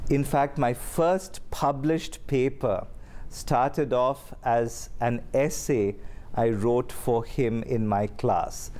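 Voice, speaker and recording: Man with an Indian accent, medium pitch and a dark, mellow tone, at a very slow pace with very even loudness. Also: ordinary pitch variation. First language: Kannada. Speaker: seminary professor and dean. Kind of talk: interview.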